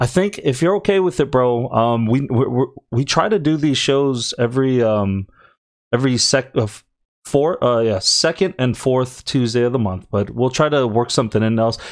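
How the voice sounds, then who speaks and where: A man speaks with an unremarkable speaking voice and lively intonation. The recording is very clean, with a silent background. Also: medium pitch for a man, moderate pace. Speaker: podcast co-host. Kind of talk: casual conversation.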